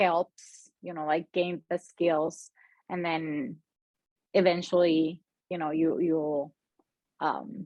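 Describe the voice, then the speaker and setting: Speaking very slowly with long, frequent pauses, a woman has a Spanish accent. Her fairly low voice keeps a fairly even intonation. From Mexico. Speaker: freelance copywriter. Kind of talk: casual interview chat. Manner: halting, many fillers.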